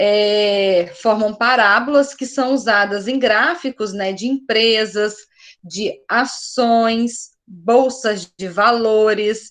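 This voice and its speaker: The woman talks very slowly, her fairly high pitch held in fairly even intonation. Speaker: math teacher. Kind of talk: online class lecture.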